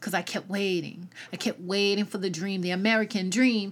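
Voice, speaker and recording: In a Southern US accent, the voice has a bright, sharp tone, ordinary pitch variation and a moderate pace, on a very clean recording with a silent background. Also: woman. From US South. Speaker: podcast host. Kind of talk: solo podcast monologue. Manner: casual, rambling, halting.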